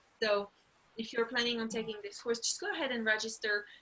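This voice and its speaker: With a French accent, a woman speaks quickly, at a fairly quick pace and a fairly high pitch. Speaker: language teacher and program instructor. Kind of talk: informational webinar. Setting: online video webinar. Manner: casual, with frequent fillers.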